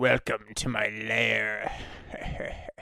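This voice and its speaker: Putting on a raspy character voice, a man pitches it very deep and low. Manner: passionate, villainous.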